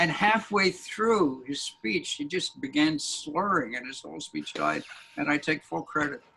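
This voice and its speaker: With noticeable background noise, a man talks at a fairly slow pace in a Canadian accent. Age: 70s. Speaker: editorial cartoonist. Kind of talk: interview.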